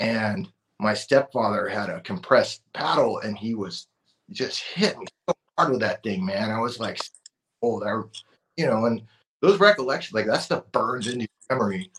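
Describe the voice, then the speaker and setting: Speaking with an American accent at a medium pitch, a man keeps a moderate pace and lively intonation but leaves long, frequent pauses. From Oxnard, California. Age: 40s. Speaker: veteran and tattoo artist. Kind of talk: casual interview.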